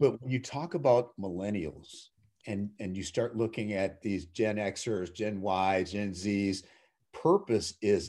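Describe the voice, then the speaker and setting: Over a quiet background, a man with an American accent and a plain, everyday voice speaks fairly slowly at a fairly low pitch. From US Midwest, Minnesota (Twin Cities). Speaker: CEO and author. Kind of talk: interview.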